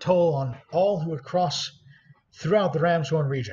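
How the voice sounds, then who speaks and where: A man's gruff, put-on character voice, fairly high in pitch, with ordinary pitch variation and a moderate pace. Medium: actual play. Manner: gruff, folksy, dropped letters.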